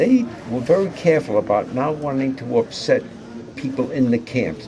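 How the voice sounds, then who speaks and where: Speaking at a moderate pace with a New York accent, a man uses lively intonation over noticeable background noise. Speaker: war veteran. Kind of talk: interview. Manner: halting.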